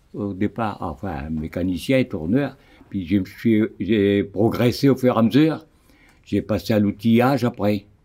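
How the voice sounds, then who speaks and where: The pace is fairly slow. The tone is dark and mellow. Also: man. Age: 90s. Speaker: retired factory worker. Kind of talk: interview testimony.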